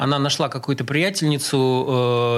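The recording of this man is very clean, the background completely silent. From Russia, grew up in several Soviet cities. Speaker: drummer. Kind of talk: interview, casual reminiscing. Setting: radio studio. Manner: halting, many filler sounds.

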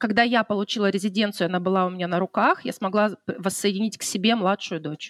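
Speaking at a very fast pace with hardly any pauses, a woman keeps a medium pitch and fairly even intonation in a dry, close sound with no echo. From Russian Far East, Khabarovsk. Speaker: wedding decorator. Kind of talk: casual interview chat.

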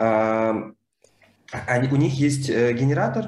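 Fairly even intonation in a man's voice at medium pitch. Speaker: librarian and podcast host. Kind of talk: casual chat.

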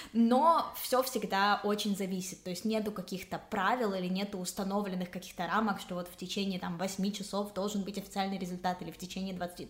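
Noticeable background noise sits behind a woman speaking at a fairly quick pace with hardly any pauses. Her pitch is medium and her intonation fairly even. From Ukraine, Kyiv. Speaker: parliamentary assistant and blogger. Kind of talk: explanatory interview.

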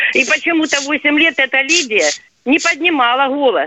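A woman's raised, projected voice, high in pitch and fairly slow, with a dry, close sound and no echo. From southern Russia, Rostov region / Kuban. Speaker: radio caller. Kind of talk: radio phone-in call.

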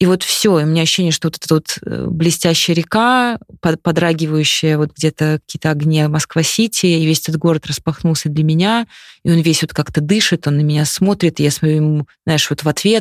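A woman speaks at a fairly quick pace with a very deep, low pitch and ordinary pitch variation, her loudness very even. The very clean recording has a silent background and a dry, close sound with no echo. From Moscow region, Russia (Khimki). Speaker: communications director and amateur runner. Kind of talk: casual interview.

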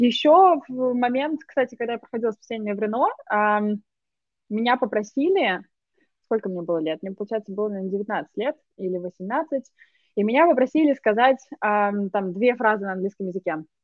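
Lively, fairly high female speech at a moderate pace, with long, frequent pauses. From Russia, Moscow. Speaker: digital marketer. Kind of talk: casual conversation.

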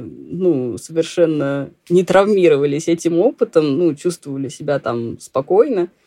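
Her tone dark and mellow, a woman speaks at a fairly slow pace in a fairly low pitch with ordinary pitch variation. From Russia, Saint Petersburg. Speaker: blogger and immigrant. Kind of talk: interview, casual chat.

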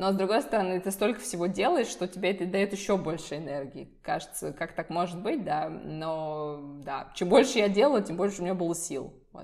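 At a moderate pace, a woman speaks in a plain, everyday voice, medium in pitch and lively in intonation. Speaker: visual designer. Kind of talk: interview. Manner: casual, with fillers.

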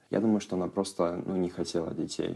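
At a moderate pace, a man talks in a very deep, low pitch with a dark, mellow tone and ordinary pitch variation. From Russia, Irkutsk region (Siberia). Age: 20s. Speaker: casting director and TikTok creator. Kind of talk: personal testimony.

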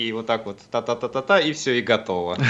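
A man is speaking here. His pace is fairly quick. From Siberia, Kemerovo. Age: 20s. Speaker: rock musician and physics student. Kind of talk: radio interview. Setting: Skype call.

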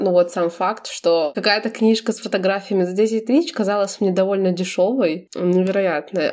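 Noticeable background noise accompanies a woman speaking at a medium pitch and a fairly quick pace. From Belarus. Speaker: podcast co-host. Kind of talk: casual chat.

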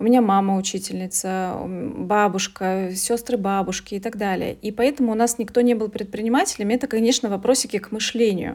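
A woman in an ordinary speaking voice, fairly high in pitch, at a fairly quick pace with hardly any pauses. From Russia, Veliky Novgorod. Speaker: coach and English teacher. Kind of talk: interview.

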